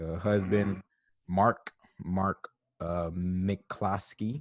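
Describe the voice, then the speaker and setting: In a dry, close recording with no echo and a quiet background, a man talks with a very deep, low pitch and fairly even intonation. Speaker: podcast co-host. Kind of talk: casual chat. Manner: slow.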